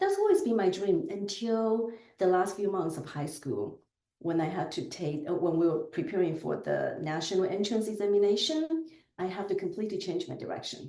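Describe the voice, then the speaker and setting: Medium-tempo speech from a woman, mid-pitched and lively in intonation. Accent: Chinese. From southern China. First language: Chinese dialect. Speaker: business executive. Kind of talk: podcast interview.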